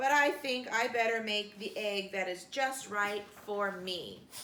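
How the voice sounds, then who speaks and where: At a fairly slow pace, a woman does a put-on character voice at a medium pitch. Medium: read story.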